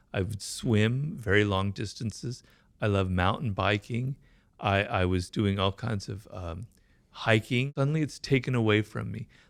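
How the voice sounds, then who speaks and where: In a very clean recording with a silent background, a man speaks at a moderate pace with a fairly low pitch. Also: ordinary pitch variation. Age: 60s. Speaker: stroke survivor, writer. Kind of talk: interview testimony. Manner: halting, with repetitions and fillers.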